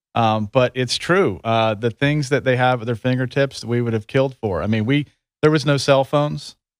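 Using a plain, everyday voice, a man talks at medium pitch with ordinary pitch variation and a moderate pace. The sound is dry and close, with no echo. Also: very clean recording, silent background. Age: 50s. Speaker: recruiter. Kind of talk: casual interview.

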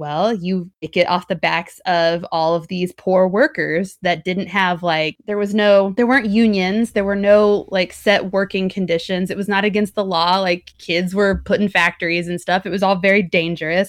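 A woman with an unremarkable speaking voice talks at a moderate pace and medium pitch, with fairly even intonation and hardly any pauses. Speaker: podcast host. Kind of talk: dramatic narration, reading a spooky passage aloud.

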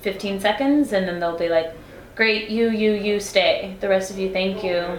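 With an American accent, a woman speaks at a medium pitch and fairly even intonation, with audible room echo and noticeable background noise. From Texas, El Paso. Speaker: singer. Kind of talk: casual chat.

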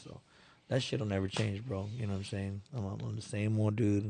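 Fairly low in pitch, a man with a normal speaking voice talks at a fairly quick pace with fairly even intonation. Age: 30s. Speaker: community organizer, business owner. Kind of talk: casual chat. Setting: studio.

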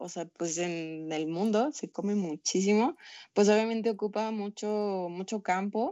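An ordinary speaking voice comes from a woman at a medium pitch. She talks at a moderate pace with ordinary pitch variation. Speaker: environmental nonprofit founder. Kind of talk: casual chat.

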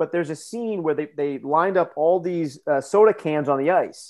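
With an American accent, the voice moves at a moderate pace and shows ordinary pitch variation. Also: man. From United States. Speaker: strength coach and professor. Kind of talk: interview.

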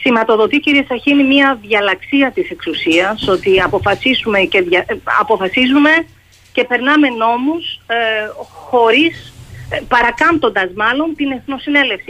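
Her pitch is high and swings very widely. The woman speaks at a fairly slow pace. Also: very even loudness. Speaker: journalist, foreign correspondent. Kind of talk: radio interview.

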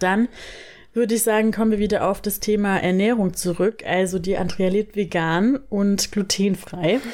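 Delivered at a moderate pace with fairly even intonation and very even loudness, this is a normal speaking voice. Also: woman, medium pitch for a woman. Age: 20s. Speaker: podcast host, copywriter. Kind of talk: casual chat. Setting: sitting on a bed at home.

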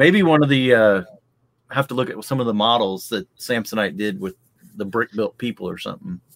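Lively intonation in a plain, everyday voice. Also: man, medium pitch for a man, fairly quick pace. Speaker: podcast host. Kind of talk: casual chat.

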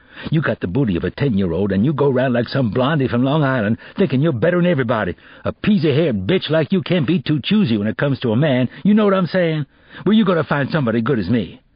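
A man's put-on, growling character voice at medium pitch, very fast, with very wide pitch swings. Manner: growling, aggressive.

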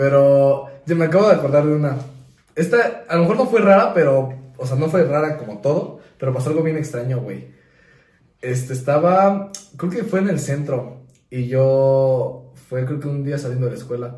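In a Mexican accent, a man speaks at a moderate pace with a fairly high pitch, ordinary pitch variation and a somewhat breathy quality, with audible room echo. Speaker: podcast co-host. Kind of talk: casual chat.

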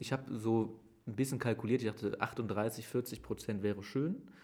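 At a moderate pace, a normal speaking voice comes through with fairly even intonation. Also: man. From Germany, Aachen area. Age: 30s. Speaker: mayor. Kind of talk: interview. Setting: mayor's office.

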